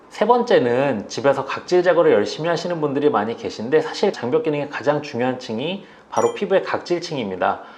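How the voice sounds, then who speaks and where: Over noticeable background noise, a man talks at a fairly quick pace with hardly any pauses and very wide pitch swings. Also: fairly high pitch for a man. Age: 40s. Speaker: dermatologist. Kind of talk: interview. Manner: hesitant fillers.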